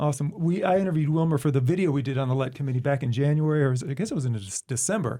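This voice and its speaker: A man speaks at a very fast pace with hardly any pauses. His voice is somewhat breathy, with a dark, mellow tone. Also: fairly high pitch for a man, ordinary pitch variation. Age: 40s. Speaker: podcast co-host, school district communications staff. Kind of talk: podcast interview.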